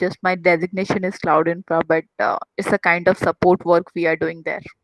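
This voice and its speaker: A woman with an Odisha accent, fairly low-pitched, in a monotone, flat delivery, with a dry, close sound and no echo. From Odisha, India. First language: Odia. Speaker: IT trainer. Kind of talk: casual chat. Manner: halting.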